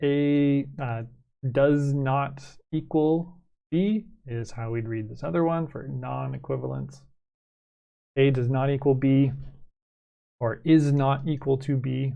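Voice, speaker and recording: With a Canadian accent and a fairly high pitch, a man speaks at a very slow pace with long, frequent pauses and ordinary pitch variation, his voice carrying audible room echo. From Canada. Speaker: math teacher. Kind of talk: lecture. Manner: hesitant, many fillers.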